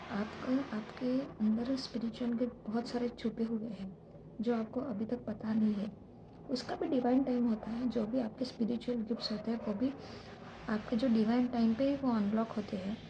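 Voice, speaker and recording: Against noticeable background noise, a woman talks fairly slowly in a fairly high pitch with fairly even intonation. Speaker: spiritual reader, channel host. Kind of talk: tarot-style spiritual reading.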